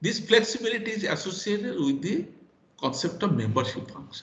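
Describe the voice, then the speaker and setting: Speaking at a high pitch, a man uses lively intonation and big swings in loudness. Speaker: professor. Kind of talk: lecture. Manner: halting.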